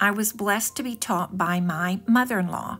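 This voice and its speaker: A woman with a plain, everyday voice, medium pitch and a moderate pace. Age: 60s. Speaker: home decor vlogger. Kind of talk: home decor video narration.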